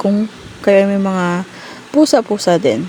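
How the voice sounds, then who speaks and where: Noticeable background noise is present. A woman talks at a medium pitch with ordinary pitch variation. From Philippines. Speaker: mom vlogger. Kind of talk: unboxing vlog. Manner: talkative. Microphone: sound dropped out, mic issue.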